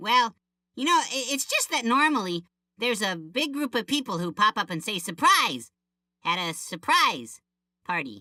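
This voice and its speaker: A man puts on a cartoonish character voice with a high pitch and a cheerful tone. He speaks at a moderate pace, the sound dry and close with no echo. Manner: goofy, cheerful.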